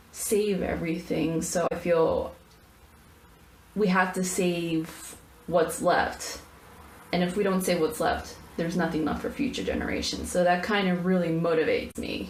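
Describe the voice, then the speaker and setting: With noticeable background noise and audible room echo, a woman speaks at a fairly low pitch with fairly even intonation. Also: moderate pace. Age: 20s. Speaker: college student. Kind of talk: personal video answering questionnaire. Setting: filming in a bathroom. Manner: halting, stuttering; rambling.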